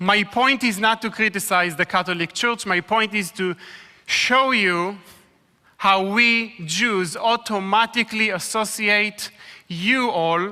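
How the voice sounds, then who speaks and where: A man's raised, projected voice, high in pitch, with an Israeli accent, very slow pace and fairly even intonation. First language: Hebrew. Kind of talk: sermon.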